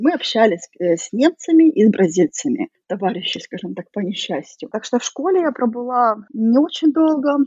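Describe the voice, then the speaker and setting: A somewhat breathy woman at a moderate pace, her pitch swinging very widely. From Russia. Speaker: emigrant. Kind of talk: interview.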